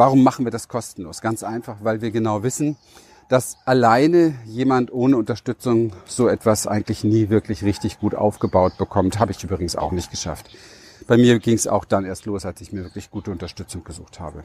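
In a plain, everyday voice, a man speaks at a fairly quick pace and fairly low pitch with ordinary pitch variation and big swings in loudness, the sound dry and close with no echo. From Berlin, Germany. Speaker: life and business coach. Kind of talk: motivational monologue.

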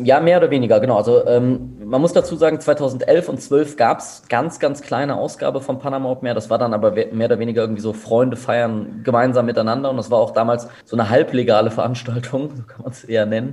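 Talking at a very fast pace with hardly any pauses, a man keeps a medium pitch and fairly even intonation. His loudness swings widely. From Germany, Bonn. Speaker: event organizer. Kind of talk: interview. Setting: office. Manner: calm.

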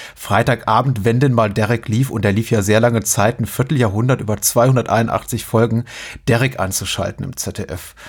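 A somewhat breathy man at medium pitch, moderate pace, and fairly even intonation. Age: 40s. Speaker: podcast host. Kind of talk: casual chat.

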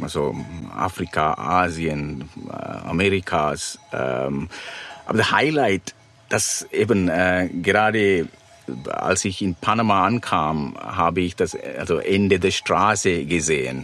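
A man with a very deep, low pitch and lively intonation at a very slow pace, with noticeable background noise. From Sri Lanka. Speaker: van-life traveller and author. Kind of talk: interview. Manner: halting, with many fillers.

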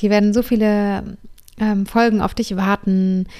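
A woman speaks at a moderate pace with a medium-pitched voice. Her tone is dark and mellow. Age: 30s. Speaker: yoga teacher and podcast host. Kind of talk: monologue.

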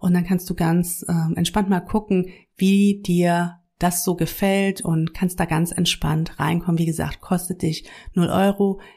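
On a very clean recording with a silent background, a woman with fairly low pitch and a dark, mellow tone sounds somewhat breathy, keeping monotone, flat intonation and very even loudness. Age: 40s. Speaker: yoga teacher and podcast host. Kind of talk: casual monologue. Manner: conversational with many fillers.

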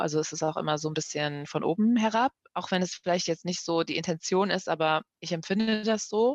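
A woman with an ordinary speaking voice, pitched fairly low, with ordinary pitch variation. The sound is dry and close with no echo, over a quiet background. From Germany, grew up after fleeing Kabul at four. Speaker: journalist, head of a broadcaster's language desk. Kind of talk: casual chat.

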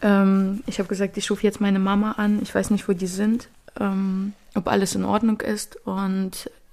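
The pace is fairly slow. It is a very clean recording with a silent background. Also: woman. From Ukraine, moved to Magdeburg at 13. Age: 30s. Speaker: volunteer aid organizer, shop owner. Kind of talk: interview testimony. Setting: studio, in person. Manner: halting, many fillers.

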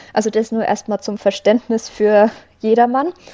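A woman talks fairly slowly in a fairly high pitch. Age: 20s. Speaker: psychologist. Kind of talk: interview.

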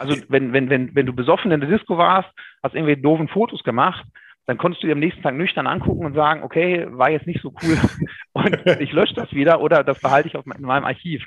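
A man speaks at a very fast pace in a fairly high pitch, with ordinary pitch variation. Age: 30s. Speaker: insurance broker. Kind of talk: interview.

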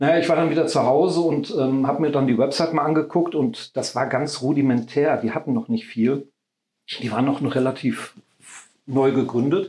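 Using a normal speaking voice, a man talks with a fairly high pitch, ordinary pitch variation, and a moderate pace. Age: 50s. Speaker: caretaker at a meditation house, charity founder. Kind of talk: casual interview.

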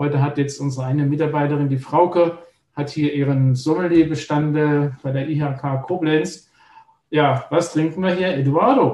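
A man speaks with a fairly high pitch and a dark, mellow tone. His voice is somewhat breathy, and his intonation stays fairly even. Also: moderate pace. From Palatinate, Germany (Neustadt an der Weinstraße). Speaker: organic winemaker. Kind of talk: casual chat.

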